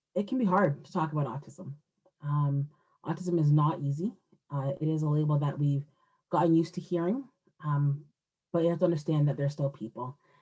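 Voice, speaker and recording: A woman's very deep, low voice, dark and mellow and somewhat breathy, with ordinary pitch variation and long, frequent pauses. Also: fairly quick pace. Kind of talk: webinar presentation. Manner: fast.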